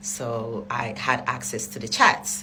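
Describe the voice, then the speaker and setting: In a non-native accent, a woman speaks at a very slow pace. Noticeable background noise and audible room echo surround her voice. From Africa. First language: not English. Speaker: vlogger. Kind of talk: storytelling. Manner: casual.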